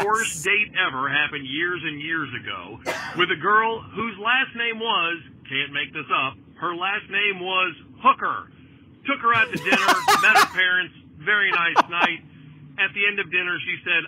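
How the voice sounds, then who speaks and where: A man's high-pitched voice moves at a moderate pace, its pitch varying in an ordinary way, as noticeable background noise plays behind it. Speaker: caller. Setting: phone.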